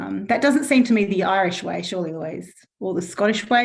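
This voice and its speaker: Someone talks at a very fast pace with an Australian accent and lively intonation, and audible room echo surrounds the voice. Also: woman. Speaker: panel moderator at online event. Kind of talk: online panel discussion. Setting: online event.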